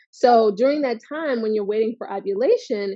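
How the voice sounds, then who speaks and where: A woman's high-pitched voice. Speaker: fertility coach and video host. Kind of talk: casual educational talk to camera. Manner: chatty, informal.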